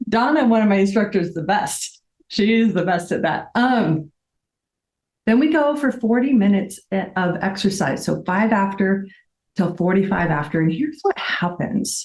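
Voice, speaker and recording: With lively intonation and a somewhat breathy medium-pitched voice, a woman speaks at a moderate pace. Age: young. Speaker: fitness instructor and business founder. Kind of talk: class instruction demonstration; interview.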